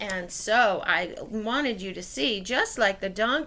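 Pitch varies in an ordinary way during this plain reading aloud.

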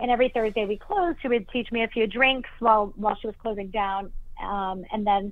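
A woman speaks at a medium pitch with fairly even intonation. She has an ordinary speaking voice. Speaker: bartender and mixologist. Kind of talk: interview.

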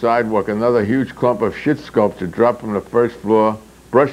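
The speaker reads in a natural reading voice.

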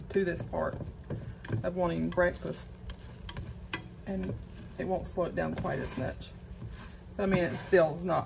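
Against a backdrop of noticeable noise, a woman talks at a moderate pace. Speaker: home cooking vlogger. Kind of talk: casual vlog chat. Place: kitchen. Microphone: phone near.

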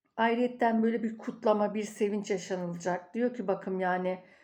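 A woman talks at a moderate pace with a medium pitch. Her tone is dark and mellow, and her intonation fairly even. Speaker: tarot and coffee fortune reader. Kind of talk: fortune reading monologue. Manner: rambling, filled with hesitations.

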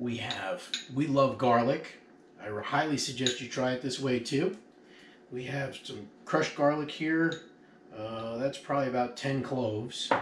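A man speaks at a fairly slow pace with ordinary pitch variation. Light background noise and audible room echo are present. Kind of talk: cooking tutorial. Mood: jovial, joking. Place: kitchen. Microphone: camera far.

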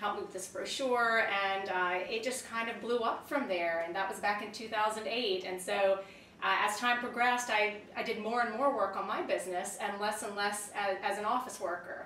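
A woman with a fairly high pitch is heard with audible room echo and light background noise. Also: moderate pace. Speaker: freelance writer. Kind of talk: interview. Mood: friendly, relaxed, upbeat. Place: home room.

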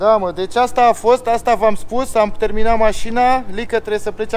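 A man speaks at a high pitch and a fairly quick pace. Light background noise can be heard. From Romania. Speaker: family vlogger. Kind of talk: vlog narration. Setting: in a car. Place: street. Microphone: phone near.

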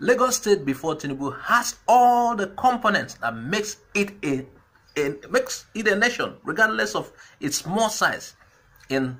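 In a raised, projected voice, a man speaks at a high pitch with a bright, sharp tone, very wide pitch swings and a fairly slow pace. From Nigeria, Igbo southeast (Anambra). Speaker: political commentary vlogger. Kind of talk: political commentary monologue. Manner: hesitant, frequent fillers. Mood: argumentative, persuasive.

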